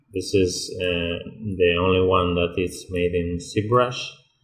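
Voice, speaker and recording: Very slowly and in a fairly even intonation, a man talks with a very deep, low pitch. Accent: Spanish. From Spain. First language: Spanish. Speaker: 3D environment artist. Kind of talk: tutorial. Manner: halting, many fillers.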